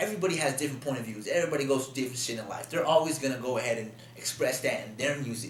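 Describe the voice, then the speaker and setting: There is noticeable background noise and audible room echo as a man talks at a very fast pace, his pitch fairly high and his pitch variation ordinary. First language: Spanish. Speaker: rapper. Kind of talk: casual interview chat. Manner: repeats words, stammering.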